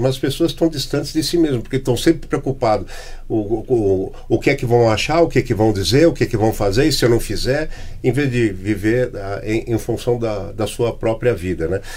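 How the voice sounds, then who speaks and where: At a moderate pace, a man talks at a medium pitch. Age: 60s. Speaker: podcast host. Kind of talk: casual chat. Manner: halting.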